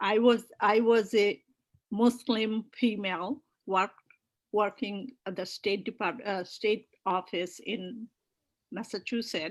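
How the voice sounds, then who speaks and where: Speaking very slowly, a woman uses a fairly high pitch and fairly even intonation. The recording is very clean, with a silent background. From Bangladesh (Tangail). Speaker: political activist. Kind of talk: interview. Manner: halting.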